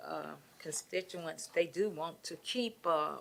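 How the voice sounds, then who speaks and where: A woman speaks with vocal fry at a fairly low pitch. Her pitch moves in an ordinary way. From Clarksville, Tennessee. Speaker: city council member. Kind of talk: council meeting debate.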